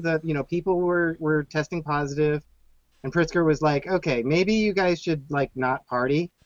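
Moderately paced, the man's speech comes through. His voice sits fairly high. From US Southwest, Phoenix. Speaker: cocktail history podcaster. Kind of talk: casual chat. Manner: halting, repeats words.

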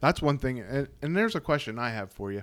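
Heard on a very clean recording with a silent background, a man in an American accent uses a plain, everyday voice at a fairly quick pace with ordinary pitch variation. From central Pennsylvania. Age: 40s. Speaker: podcast host and fly tyer. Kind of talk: casual interview. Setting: home studio.

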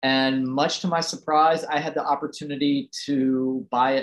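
In an American accent, a man with an ordinary speaking voice talks at a medium pitch and a moderate pace. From US South, Roanoke, Virginia (Appalachia). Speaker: preservation blogger restoring a family farm. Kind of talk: casual interview. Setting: at home, in his restored house.

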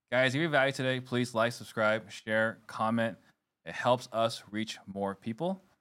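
An unremarkable speaking voice from a man, medium in pitch with ordinary pitch variation. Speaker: podcast host. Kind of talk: interview with ad reads. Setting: live show.

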